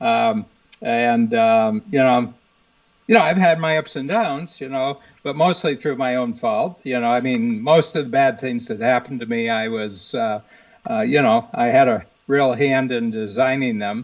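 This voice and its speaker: Speaking at a moderate pace with a Midwestern American accent, a man keeps a medium pitch with ordinary variation. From US Midwest, northern Ohio. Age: 70s. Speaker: business coach. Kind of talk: interview conversation. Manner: frequent fillers and restarts.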